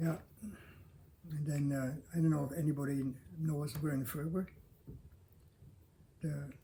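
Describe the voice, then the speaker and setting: Somewhat breathy, a man speaks at a fairly high pitch in a dark, mellow tone with monotone, flat intonation. His moderate pace is broken by long, frequent pauses. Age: 80s+. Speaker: longtime local resident, builder. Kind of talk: interview. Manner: halting.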